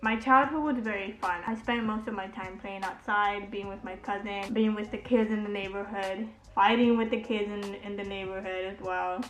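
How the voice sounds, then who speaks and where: A woman with a Spanish accent, a medium pitch, fairly even intonation, a moderate pace, hardly any pauses and big swings in loudness, with music in the background and audible room echo. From Honduras, then US from age five. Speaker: beauty vlogger. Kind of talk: casual chat. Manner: relaxed.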